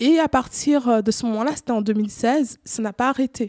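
In a plain, everyday voice, a woman speaks at a fairly high pitch and a fairly slow pace. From Cameroon. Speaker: artist, photographer. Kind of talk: casual interview.

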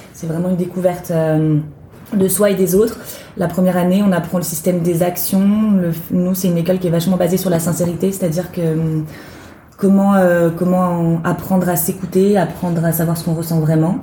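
Fairly low in pitch, a woman speaks at a moderate pace with monotone, flat intonation. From western France, near Nantes (Loire-Atlantique). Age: 20s. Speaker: actress and theatre director. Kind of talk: interview. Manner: hesitant, many fillers.

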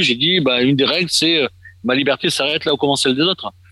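Over noticeable background noise, a man talks very fast at a medium pitch with ordinary pitch variation, the sound dry and close with no echo. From Marseille, southern France. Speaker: expatriate association official. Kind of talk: radio discussion.

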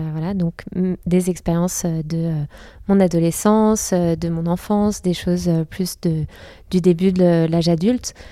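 A woman speaks very slowly, with long, frequent pauses and a fairly low pitch. Her tone is dark and mellow, her intonation monotone and flat. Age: young. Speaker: comic book author. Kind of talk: interview. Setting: comic festival. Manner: halting.

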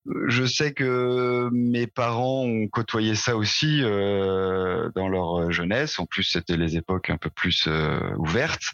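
Talking very slowly with ordinary pitch variation, a man is heard in a dry, close sound with no echo. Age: 30s. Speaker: IT project manager, cannabis user interviewed. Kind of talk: interview testimony. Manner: hesitant, many fillers.

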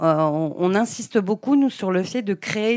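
A woman speaks in an ordinary speaking voice at a fairly slow pace with ordinary pitch variation, on a very clean recording with a silent background. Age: 50s. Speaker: childminder. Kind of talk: interview.

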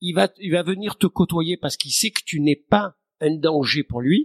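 A man's voice is captured with a dry, close sound and no echo. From southern France, near Marseille. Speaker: marine conservation foundation founder. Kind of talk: interview. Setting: his office.

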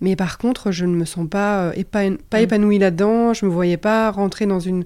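On a very clean recording with a silent background, a woman speaks at a moderate pace in a dark, mellow tone with fairly even intonation. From Belgium. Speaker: enneagram coach and trainer. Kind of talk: interview conversation. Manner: halting, many repetitions and fillers.

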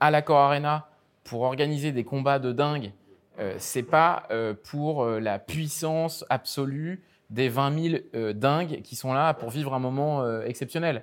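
This man's pitch is fairly high. He talks at a very slow pace. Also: very clean recording, silent background. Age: 30s. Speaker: concert arena executive. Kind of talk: interview. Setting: lounge box inside a concert arena.

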